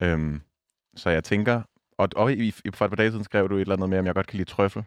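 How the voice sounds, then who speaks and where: Using a normal speaking voice, a man talks at a fairly low pitch with ordinary pitch variation in a dry, close sound with no echo. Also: quiet background. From Denmark, south Zealand near Næstved. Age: 20s. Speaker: radio host. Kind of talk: casual chat.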